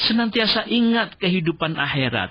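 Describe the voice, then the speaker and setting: A man's voice, high in pitch, with very wide pitch swings. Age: 60s. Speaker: Islamic preacher. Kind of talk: religious talk on radio. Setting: radio studio.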